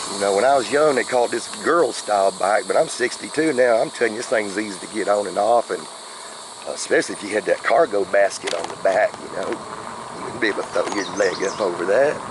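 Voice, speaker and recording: At a fairly quick pace, a man talks with an Oklahoma accent over noticeable background noise. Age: 60s. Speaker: e-bike reviewer. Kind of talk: casual vlog narration. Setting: outdoors riding an e-bike. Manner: rambling, halting with many uh fillers.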